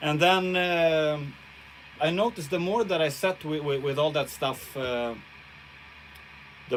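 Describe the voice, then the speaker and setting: A man with a Swedish accent talks at a fairly slow pace. His pitch is fairly high, with ordinary variation. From Sweden. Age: 40s. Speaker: guitarist. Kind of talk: casual livestream chat. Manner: halting.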